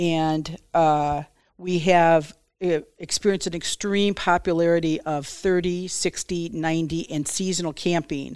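In a very clean recording with a silent background, a woman speaks with an American accent. Her fairly low voice moves at a fairly slow pace with monotone, flat intonation. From Detroit area, Michigan. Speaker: county parks director. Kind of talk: casual interview.

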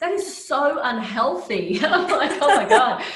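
Amid audible room echo, a woman speaks at a fairly slow pace in a high pitch with very wide pitch swings. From Brazil, then Australia from age 13. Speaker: naturopathic doctor, fertility specialist. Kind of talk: interview.

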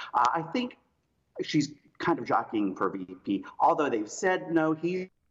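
Speaking with an American accent, a man with a fairly high pitch shows very wide pitch swings and vocal fry. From South Carolina. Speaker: political strategist. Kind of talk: interview. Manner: halting.

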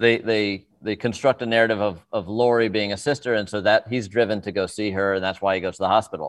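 At a very fast pace, a man speaks in a fairly low voice with fairly even intonation. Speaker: film director. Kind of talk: interview.

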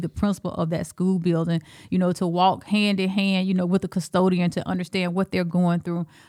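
A woman with an Alabama accent speaks at a fairly quick pace in a fairly low, monotone, flat voice, the sound dry and close with no echo on a very clean recording with a silent background. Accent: Southern US, Alabama. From Alabama, US South. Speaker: school superintendent. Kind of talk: casual interview.

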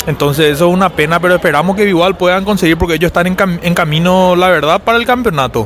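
A man with a high voice speaks very fast, with ordinary pitch variation, hardly any pauses and very even loudness, over noticeable background noise. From Paraguay. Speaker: rugby player. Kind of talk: interview. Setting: at a stadium.

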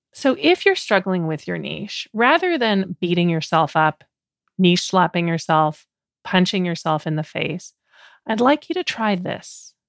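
An unremarkable speaking voice from a woman, medium in pitch with ordinary pitch variation. She talks fairly slowly on a very clean recording with a silent background and a dry, close sound with no echo. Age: 50s. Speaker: podcast host and life coach. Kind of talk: solo podcast monologue.

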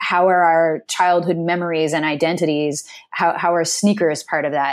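A woman speaks in an American accent with a very deep, low pitch. Her intonation is flat and monotone. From US Pacific Northwest (Seattle area). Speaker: dance company artistic director and choreographer. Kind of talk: interview.

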